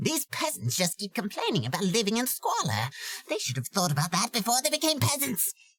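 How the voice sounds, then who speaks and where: A man uses a put-on character voice, high in pitch with very wide pitch swings. He talks at a fairly quick pace, and the sound is dry and close with no echo. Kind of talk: character voice demo.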